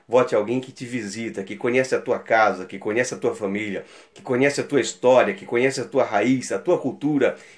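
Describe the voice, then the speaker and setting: There are big swings in loudness as a man talks at a fairly quick pace. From Brazil, São Luís do Maranhão (Northeast); Maranhão, Brazil. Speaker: local election candidate; election candidate. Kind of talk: campaign appeal. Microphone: phone near.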